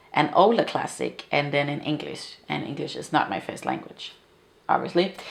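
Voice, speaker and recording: A woman's voice with vocal fry, a Danish accent and ordinary pitch variation. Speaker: book video creator. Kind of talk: casual chat. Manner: halting.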